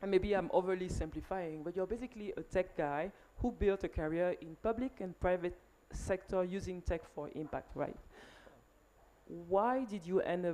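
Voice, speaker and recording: Her tone dark and mellow, a woman with a French accent speaks at a medium pitch with ordinary pitch variation. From Cameroon. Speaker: panel moderator. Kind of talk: panel discussion. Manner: hesitant, many fillers.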